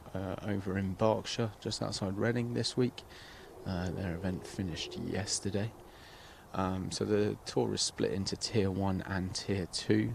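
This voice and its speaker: A man speaks at a fairly slow pace in an English accent, his pitch fairly low with vocal fry. His pitch varies in an ordinary way. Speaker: golf commentator and tour player. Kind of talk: live commentary. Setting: outdoors by the golf course. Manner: soft-spoken at times.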